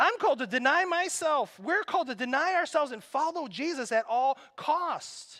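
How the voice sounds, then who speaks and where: A man projects a raised voice at an extremely high pitch, with very wide pitch swings. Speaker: pastor. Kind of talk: sermon. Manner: animated.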